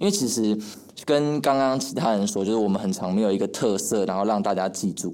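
The voice has a dark, mellow tone and ordinary pitch variation at a fairly quick pace. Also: man, fairly low pitch for a man. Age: 20s. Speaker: young comedy actor. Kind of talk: casual interview chat.

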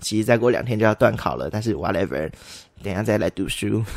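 A man's medium-pitched voice with vocal fry, in a very clean recording with a silent background. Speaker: podcast host. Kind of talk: casual solo chat. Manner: animated. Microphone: new condenser microphone.

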